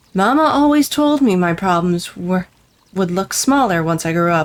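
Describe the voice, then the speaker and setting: A gruff, put-on character voice at a middle pitch and a moderate pace. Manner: muttering.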